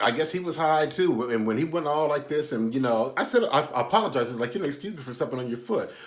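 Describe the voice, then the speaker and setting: At a fairly quick pace, a man speaks with lively intonation, and audible room echo is present. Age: 60s. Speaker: YouTube commentator and author. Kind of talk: casual storytelling monologue. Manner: halting, many fillers.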